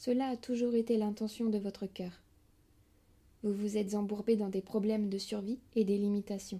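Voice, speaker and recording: A woman speaks at a moderate pace with a fairly high pitch. Her tone is dark, mellow and somewhat breathy, with fairly even intonation. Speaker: spiritual audiobook reader. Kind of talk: spiritual lecture reading. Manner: whispered, soft.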